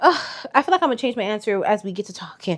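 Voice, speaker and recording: Dry, close sound with no echo, with an American accent. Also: woman. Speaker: vlogger. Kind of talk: casual chat. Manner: loud.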